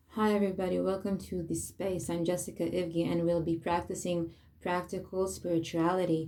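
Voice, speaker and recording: A woman speaks fairly slowly as music plays behind her. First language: Hebrew. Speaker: spiritual teacher. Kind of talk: talk on weekly Torah portion. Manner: halting.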